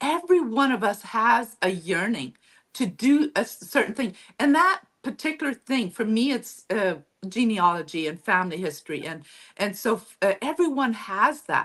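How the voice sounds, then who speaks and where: Her pitch fairly high, a woman with a northern German accent makes very wide pitch swings. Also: moderate pace. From Mennonite community in Mexico. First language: Low German. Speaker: author and historian. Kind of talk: interview.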